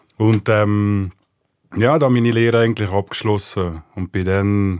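An unremarkable speaking voice at a fairly slow pace in a very clean recording with a silent background. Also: man. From Switzerland, rural village. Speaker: talent agent. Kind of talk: casual interview.

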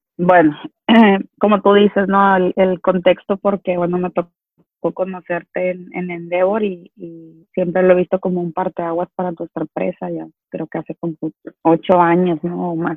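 A woman's fairly low, flat, monotone voice at a moderate pace, with big swings in loudness. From Mexico, Culiacán (Sinaloa). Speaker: business owner. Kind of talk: interview.

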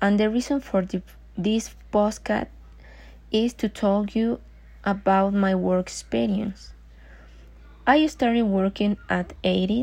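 A woman speaks at a very slow pace with long, frequent pauses and very even loudness over a quiet background. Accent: Mexican. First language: Spanish. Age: 20s. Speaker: job applicant. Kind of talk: self-introduction for job application. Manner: halting.

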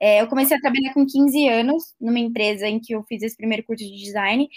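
At a very fast pace, a woman speaks with a high pitch. Her intonation stays fairly even. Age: 20s. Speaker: designer. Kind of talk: interview.

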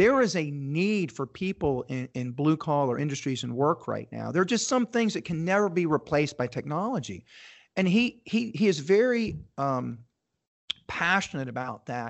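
A man's fairly high voice makes very wide swings in pitch. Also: moderate pace. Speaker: entrepreneur and show host. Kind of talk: interview.

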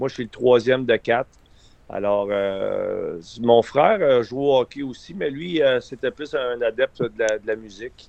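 A man speaks at a fairly slow pace in an unremarkable speaking voice, his pitch medium. His loudness swings widely from moment to moment. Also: ordinary pitch variation. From Quebec, Eastern Townships (Windsor). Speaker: former hockey player and coach. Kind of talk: radio interview.

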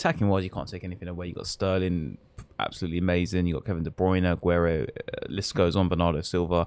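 A man with an English accent talks at a very fast pace in a very deep, low voice, his intonation fairly even. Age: 20s. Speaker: football podcast co-host. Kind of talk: casual chat.

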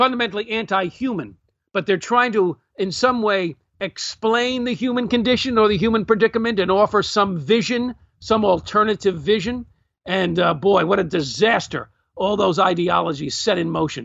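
With a New York accent, a man speaks at a high pitch. His pace is moderate and his pitch varies in an ordinary way. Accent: New York American. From Brooklyn, New York. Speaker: author and historian. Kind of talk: interview.

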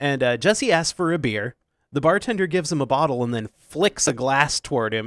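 Captured in a very clean recording with a silent background and a dry, close sound with no echo, a man with a normal speaking voice talks with a fairly high pitch and lively intonation. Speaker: podcast host. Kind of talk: casual chat, comedic movie review. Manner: joking, playful.

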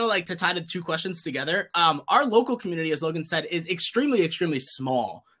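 A man's loud, bright and sharp voice, animated, with lively intonation, a very fast pace and hardly any pauses. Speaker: card game YouTuber. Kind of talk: casual chat. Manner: talkative, animated.

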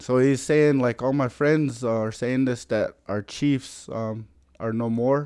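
A man with an American accent, very slow, with a dark, mellow tone at medium pitch, against a quiet background. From US Plains, Lakota (Pine Ridge, South Dakota). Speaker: Lakota culture and language keeper. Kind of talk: casual interview chat.

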